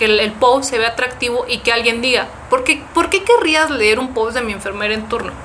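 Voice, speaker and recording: Over noticeable background noise, a woman speaks at a high pitch with ordinary pitch variation and a moderate pace. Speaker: nurse researcher and content creator. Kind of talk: casual interview chat. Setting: in-person studio.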